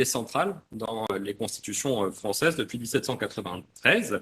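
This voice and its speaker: A man speaks with lively intonation and a bright, sharp tone. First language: French. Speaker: panelist. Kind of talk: panel discussion. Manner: halting.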